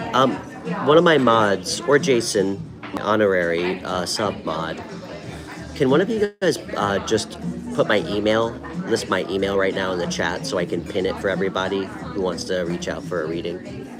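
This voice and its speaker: A man's fairly low voice with lively intonation, audible room echo and music in the background. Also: moderate pace. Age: 30s. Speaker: tarot reader, live stream host. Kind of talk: live stream chat with viewers. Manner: casual, with many filler ums.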